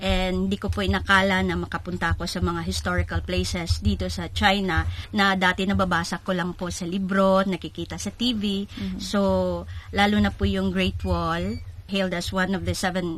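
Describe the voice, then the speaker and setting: A woman with a Philippine accent talks at a moderate pace. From Cebu, Visayas, Philippines. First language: Cebuano (speaking Tagalog). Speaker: newspaper reporter and editor. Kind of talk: radio interview. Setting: studio.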